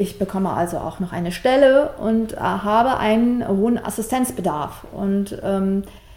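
This woman's voice sits at a medium pitch with ordinary pitch variation. It is a plain, everyday voice. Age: 30s. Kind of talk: interview.

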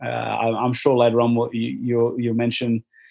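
A medium-pitched man with an Australian accent at a moderate pace. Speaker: former sports event volunteer. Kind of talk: casual interview. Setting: online call.

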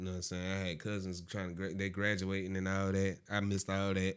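Over a silent background in a very clean recording, a man talks at a very fast pace with a very deep, low pitch. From Augusta, Georgia. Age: 20s. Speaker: podcast guest. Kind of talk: casual chat.

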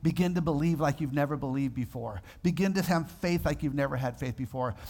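This man's voice sits fairly high and is somewhat breathy. He talks at a fairly quick pace with ordinary pitch variation. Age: 50s. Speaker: pastor. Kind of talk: sermon. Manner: animated.

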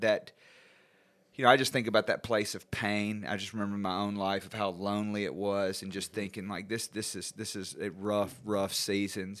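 A man with a Southern US accent, fairly low-pitched, at a moderate pace, on a very clean recording against a silent background. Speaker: podcast host, addiction recovery worker. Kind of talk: interview.

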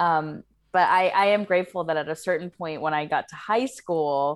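A woman with an American accent uses a normal speaking voice at a moderate pace. Her pitch varies in an ordinary way on a very clean recording with a silent background. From US South, rural Kentucky/Tennessee area. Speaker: podcast guest. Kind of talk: casual chat.

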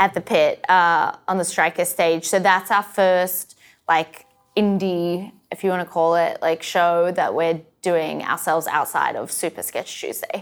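Speaking at a fairly slow pace, a woman with an Australian accent keeps a medium pitch and a monotone, flat intonation. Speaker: sketch comedy writer and performer. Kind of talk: casual interview chat. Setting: rehearsal studio.

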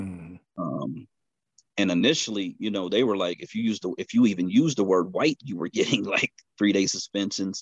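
With a normal speaking voice, a man talks at a moderate pace, using a fairly low pitch and ordinary pitch variation. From western Pennsylvania, Pittsburgh area. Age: 40s. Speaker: truck driver and author. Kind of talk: casual political discussion.

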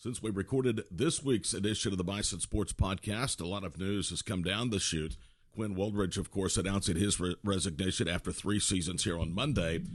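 A man's fairly low voice at a fairly quick pace, ordinary pitch variation and hardly any pauses. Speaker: sports podcast host. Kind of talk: scripted intro; podcast interview.

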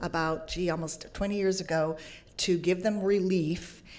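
At a moderate pace, a woman of medium pitch talks in an unremarkable speaking voice. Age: 50s. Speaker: broadcast journalist. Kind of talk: panel discussion.

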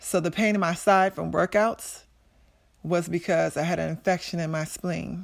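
A woman's fairly low, vocal-fried voice with an American accent, monotone and flat, at a moderate pace on a very clean recording with a silent background. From Maryland, US. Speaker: former college basketball player, heart surgery survivor. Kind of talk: personal testimony.

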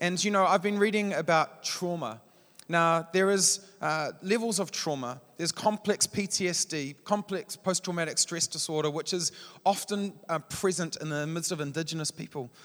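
A man with a New Zealand accent and a high pitch speaks at a moderate pace with ordinary pitch variation. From New Zealand, Palmerston North. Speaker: church leader, guest preacher. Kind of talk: sermon.

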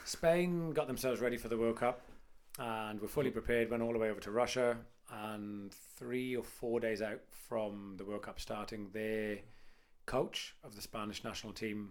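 Here is a man with an ordinary speaking voice, pitched in the medium range. His pace is moderate, and his pitch varies in an ordinary way. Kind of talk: casual chat.

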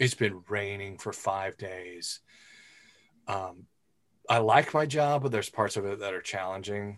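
Against a quiet background, a man speaks at a fairly slow pace with long, frequent pauses. His pitch is fairly low, with ordinary pitch variation. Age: 50s. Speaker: podcast host. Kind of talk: casual chat.

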